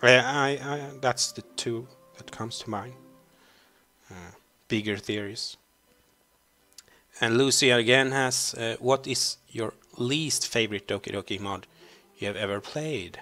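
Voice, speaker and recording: Over music in the background, a man with a Swedish accent and medium pitch speaks with big swings in loudness and long, frequent pauses. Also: ordinary pitch variation, fairly slow pace. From Sweden. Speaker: YouTuber answering fan questions. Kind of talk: Q&A video, casual. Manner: hesitant, many fillers.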